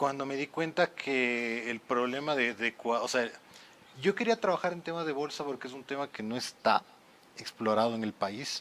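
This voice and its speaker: A man speaks with a Quito accent at a medium pitch. His pace is moderate and his pitch variation ordinary. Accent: Quito Ecuadorian Spanish. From Ecuador, Quito (Tumbaco). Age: 30s. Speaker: lawyer and content creator. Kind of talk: podcast interview.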